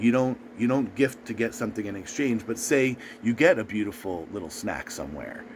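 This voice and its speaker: Noticeable background noise under a man's fairly quick speech. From US East Coast. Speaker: video blogger. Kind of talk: casual advice monologue.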